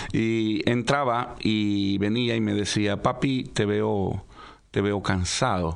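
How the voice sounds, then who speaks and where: With fairly even intonation, a man talks in an ordinary speaking voice that sits fairly low in pitch. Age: 50s. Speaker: pastor. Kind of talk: radio interview, personal testimony.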